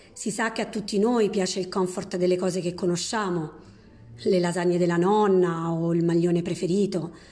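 With a dark, mellow tone, a woman speaks at a medium pitch and moderate pace, her intonation fairly even and her loudness very even, in a room with audible echo. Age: 40s. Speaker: sustainability manager. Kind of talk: prepared testimony. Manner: hesitant, filler sounds.

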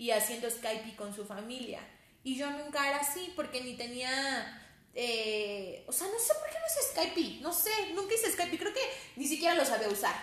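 A woman's high voice at a moderate pace, with very wide pitch swings and audible room echo. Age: 30s. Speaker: pastor's daughter and psychologist. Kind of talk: casual chat.

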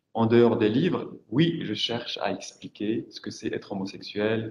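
A man with a Moroccan accent at a fairly slow pace. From Morocco. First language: Moroccan Arabic (speaking French). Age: 40s. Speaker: writer. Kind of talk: panel discussion. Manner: halting.

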